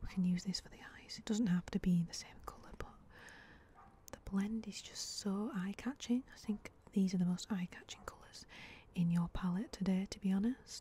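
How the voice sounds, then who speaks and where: A soft-spoken woman talks with fairly even intonation. The sound is dry with no echo, over light background noise. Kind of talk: soft roleplay commentary. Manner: soft-spoken ASMR murmur. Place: garden. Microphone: phone near.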